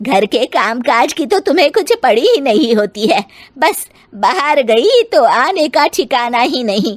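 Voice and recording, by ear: A woman's high-pitched, put-on character voice with big pitch swings. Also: fairly slow pace.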